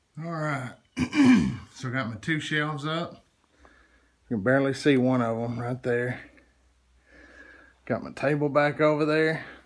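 Lively intonation marks this man's medium-pitched voice. He moves at a fairly slow pace, with long, frequent pauses.

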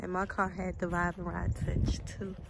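A woman's moderately paced voice, with vocal fry and monotone, flat intonation. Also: fairly low pitch for a woman.

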